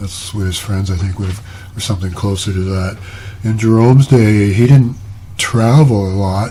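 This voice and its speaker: A man with a fairly low pitch and fairly even intonation is heard through audible room echo and noticeable background noise. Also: moderate pace. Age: 70s. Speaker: retired painter and video blogger. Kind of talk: casual talk to camera. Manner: halting, many fillers.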